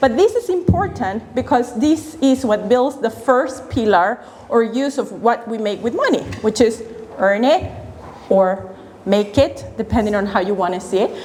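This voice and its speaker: A woman with a Spanish accent at a fairly high pitch, lively in intonation, at a moderate pace over noticeable background noise. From Venezuela. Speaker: financial educator. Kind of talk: workshop talk.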